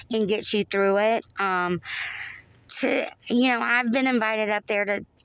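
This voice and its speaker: A woman speaks with a Southern US accent. Her pitch sits fairly high. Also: fairly slow pace, very even loudness. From US South, North Florida. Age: 40s. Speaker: Navy veteran. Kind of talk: casual chat. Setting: podcast recording.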